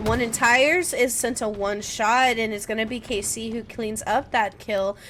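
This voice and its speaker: Amid noticeable background noise, a woman speaks in an animated tone at a high pitch. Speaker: esports caster. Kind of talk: live commentary.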